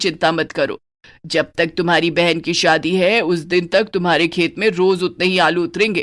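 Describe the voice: A cartoonish character voice at a middle pitch moves at a moderate pace on a very clean recording with a silent background.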